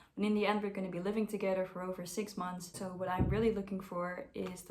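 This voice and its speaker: A woman with a Dutch accent speaks at a medium pitch in a flat monotone. Audible room echo surrounds her voice. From Netherlands (Amersfoort). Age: 20s. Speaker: au pair applicant. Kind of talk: self-introduction video.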